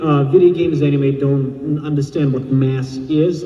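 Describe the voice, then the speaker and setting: With audible room echo and noticeable background noise, a man speaks at a moderate pace in a fairly high pitch with ordinary pitch variation. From Russia. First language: Russian. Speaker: blacksmith and armor maker. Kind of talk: convention panel talk. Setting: stage with audience.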